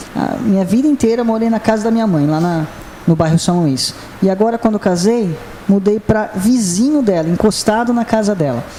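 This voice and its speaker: A man speaks in a high voice with ordinary pitch variation, and there is noticeable background noise. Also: moderate pace. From Itu, São Paulo state, Brazil. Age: 30s. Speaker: city councillor. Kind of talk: interview.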